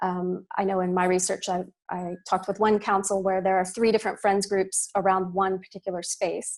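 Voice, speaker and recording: This is a woman speaking. She has a Texan accent. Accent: American (Texas). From US, Austin, Texas. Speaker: parks academic. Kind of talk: panel response at online launch event. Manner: hesitant, many fillers and repetitions.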